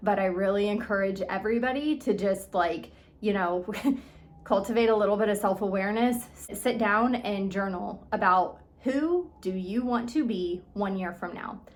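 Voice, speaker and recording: Female speech in audible room echo, ordinary pitch variation throughout. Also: medium pitch for a woman, moderate pace. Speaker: eating disorder recovery coach. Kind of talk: motivational talk. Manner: casual, filler-heavy.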